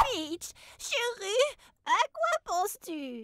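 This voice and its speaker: A female-sounding, put-on character voice, squeaky and extremely high in pitch, leaps through very wide pitch swings. The delivery is very slow. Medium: cartoon. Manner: jokey, excitable.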